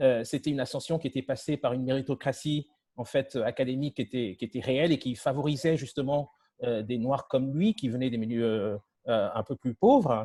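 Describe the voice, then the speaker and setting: Speaking at a very fast pace, a man uses a medium pitch with ordinary variation. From Togo and Paris, France. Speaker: media entrepreneur. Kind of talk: panel discussion. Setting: video call. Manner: halting, many repetitions.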